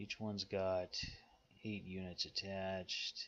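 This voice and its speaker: A man with an American accent, very deep and low in pitch, at a very slow pace, with monotone, flat intonation. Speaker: strategy game YouTuber. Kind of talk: gameplay commentary. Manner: sometimes mumbling; deliberately clear speech.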